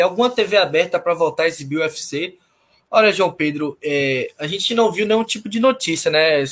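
The man here has a high pitch and lively intonation. He keeps to a moderate pace. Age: 20s. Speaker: sports show co-host. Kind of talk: live show discussion. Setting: at home.

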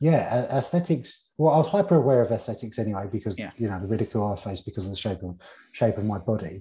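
A man with an English accent, medium pitch, and a dark, mellow tone, somewhat breathy, with lively intonation at a very fast pace, in a very clean recording with a silent background. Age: 30s. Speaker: fitness and nutrition coach. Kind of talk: casual interview chat.

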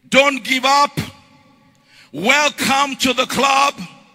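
A man talks in an extremely high voice with ordinary pitch variation while noticeable background noise goes on. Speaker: pastor. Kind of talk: rousing call-and-response sermon, congregation shouting back. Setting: church with live congregation. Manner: loud, repetitive exhortation, hammering phrases over and over; rhythmic escalating cadence, breathless run-on climaxes.

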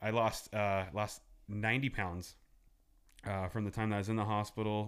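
A man with an American accent at a fairly low pitch, moderate pace, and long, frequent pauses. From Southern California (805 area code). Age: 30s. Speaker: small business owner. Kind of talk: casual interview chat.

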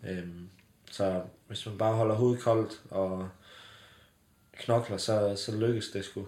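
Very slowly and in a flat monotone, a man talks at a fairly low pitch, leaving long, frequent pauses. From southwest Jutland, Denmark (Bramming). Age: 20s. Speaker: company founder. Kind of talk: casual interview. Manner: hesitant, many fillers.

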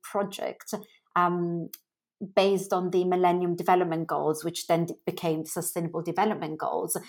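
A woman speaks at a moderate pace and a medium pitch, her intonation flat and monotone. The recording is very clean and the background silent. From Milan, Italy. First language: Italian. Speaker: fashion brand founder. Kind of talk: interview, conversational.

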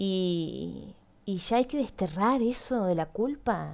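Her intonation is lively. The woman is heard in a very clean recording with a silent background. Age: 20s. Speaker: podcast host. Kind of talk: personal monologue.

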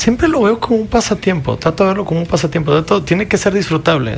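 A man's voice over noticeable background noise. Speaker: filmmaker. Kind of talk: casual chat.

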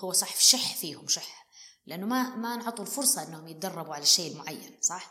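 A woman speaks at a medium pitch and a moderate pace. Her pitch varies in an ordinary way. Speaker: business executive and financial consultant. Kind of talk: interview conversation. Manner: animated.

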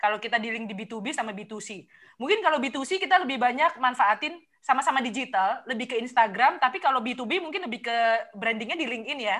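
This woman's voice is high in pitch, with a bright, sharp tone. She moves at a fairly quick pace with lively intonation. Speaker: podcast co-host, marketing professional. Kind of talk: casual chat.

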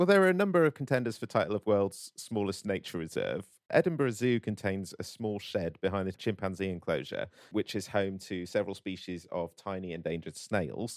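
A man's unremarkable speaking voice at a fairly low pitch and fairly quick pace, with ordinary pitch variation and a very clean recording with a silent background. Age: 30s. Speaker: comedy podcast host. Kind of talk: comedic casual chat.

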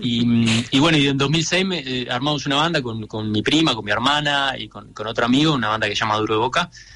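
The speech moves at a very fast pace. Its pitch variation is ordinary. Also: man, medium pitch for a man. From Uruguay, Montevideo. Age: 30s. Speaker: singer-songwriter. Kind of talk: radio interview.

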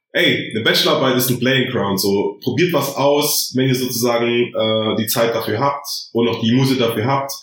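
Over noticeable background noise and audible room echo, a man at medium pitch talks at a moderate pace with fairly even intonation and very even loudness. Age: 20s. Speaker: psychology master's student. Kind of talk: podcast interview explaining his thesis.

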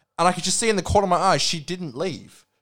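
A man with an Australian accent talks at a very fast pace. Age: 20s. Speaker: podcast co-host. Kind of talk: casual chat.

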